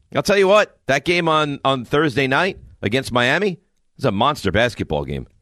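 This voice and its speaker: With an American accent, a man speaks in a fairly high voice with vocal fry and very wide pitch swings, the sound dry and close with no echo. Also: quiet background. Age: 40s. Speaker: sports radio host. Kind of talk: sports talk radio.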